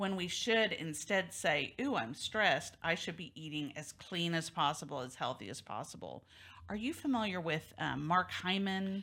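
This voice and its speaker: A woman with a fairly low pitch speaks at a moderate pace, with lively intonation and vocal fry. Her tone is bright and sharp, in a very clean recording with a silent background. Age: 50s. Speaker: talk show host, divorce lawyer. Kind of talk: interview talk show.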